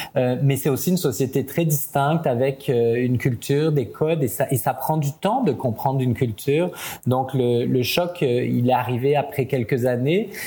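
Somewhat breathy and dark, mellow in tone, the voice moves at a fairly slow pace with ordinary pitch variation and very even loudness. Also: man, medium pitch for a man. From France, Italian parents. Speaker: media executive and commentator. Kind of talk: interview conversation.

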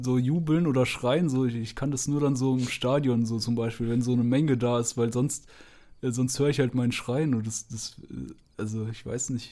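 A man talks at a moderate pace with a dark, mellow tone. His medium-pitched voice keeps a fairly even intonation. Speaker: podcast co-host. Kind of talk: casual chat. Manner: monotone.

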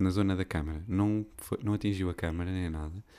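On a very clean recording with a silent background, a man with a European Portuguese accent speaks at a moderate pace in a very deep, low pitch, dark and mellow in tone with fairly even intonation. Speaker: podcast host. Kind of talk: casual monologue. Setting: recording at home, window open.

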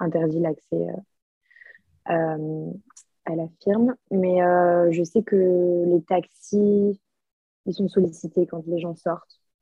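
A woman's fairly low, monotone, flat voice at a very slow pace. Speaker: exchange student, podcast co-host. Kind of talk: casual chat.

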